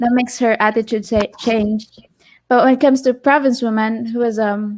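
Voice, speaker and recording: In a Filipino accent, a woman talks with monotone, flat intonation on a very clean recording with a silent background. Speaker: co-host, vlogger's girlfriend. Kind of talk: live stream chat.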